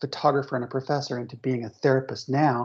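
Against a quiet background, a woman with a very deep, low pitch speaks in a monotone, flat intonation. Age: 50s. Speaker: therapist. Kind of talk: interview.

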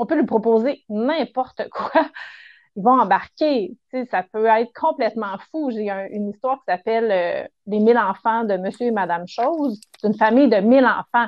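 A woman's fairly high voice in a Quebec accent, at a moderate pace, with ordinary pitch variation. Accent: Québécois French. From Quebec, Montérégie. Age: 40s. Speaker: children's author. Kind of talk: casual interview chat.

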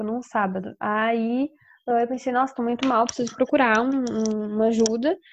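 Fairly even intonation carries speech delivered at a moderate speed. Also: woman. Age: 20s. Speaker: university student. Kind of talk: casual chat.

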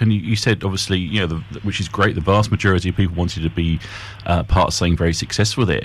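A man speaks at a very fast pace with a very deep, low pitch. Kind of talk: live radio DJ patter: upbeat break-time station ID, time check and guest recap. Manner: brisk, bright and polished, with a smooth broadcaster rhythm.

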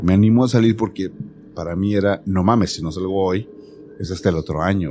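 A man with a Mexican accent speaks very fast at a fairly low pitch. His tone is dark and mellow, with ordinary pitch variation. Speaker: podcast host. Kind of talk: casual chat; storytelling.

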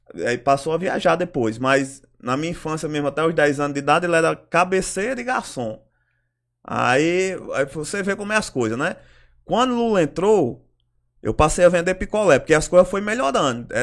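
This man's voice sits at a high pitch, with lively intonation. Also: moderate pace, very clean recording, silent background. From Ceará, Brazil. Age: 30s. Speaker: local political organizer. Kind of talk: interview. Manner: halting.

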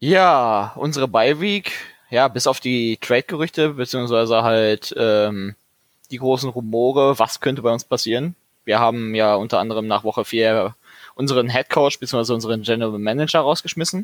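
A man with an ordinary speaking voice, medium pitch and ordinary pitch variation, at a moderate pace. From Ruhr area, Dortmund. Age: 20s. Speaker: sports fan community organiser. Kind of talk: casual chat.

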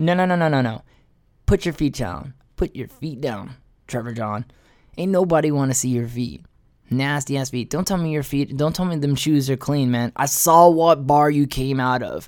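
At a moderate pace, a man with a fairly high pitch speaks in an animated tone with ordinary pitch variation, recorded very cleanly over a silent background. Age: 30s. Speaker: solo podcast host. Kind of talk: casual monologue. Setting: home recording setup.

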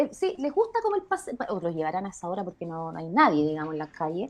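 A woman speaks with a Chilean accent. Her pace is fairly quick. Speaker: podcast co-host. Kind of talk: casual chat.

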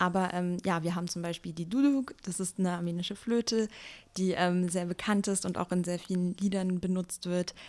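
On a very clean recording with a silent background, a woman uses a normal speaking voice at a moderate pace with fairly even intonation. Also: medium pitch for a woman. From Germany, Wiesbaden. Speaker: youth association chair. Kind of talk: podcast interview.

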